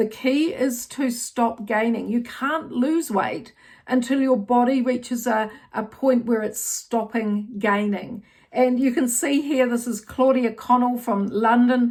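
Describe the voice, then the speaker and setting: Speaking with a New Zealand accent, a woman has a high pitch and fairly even intonation. Her pace is fairly slow. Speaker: menopause health educator. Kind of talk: educational talk to camera. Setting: outdoors. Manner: hesitant, many fillers.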